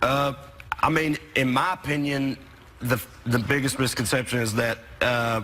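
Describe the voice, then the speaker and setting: A medium-pitched man with a Southern US accent, ordinary pitch variation, very even loudness and long, frequent pauses, amid noticeable background noise. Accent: Southern drawl. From US South. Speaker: comedian. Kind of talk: talk show interview. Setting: TV studio with audience.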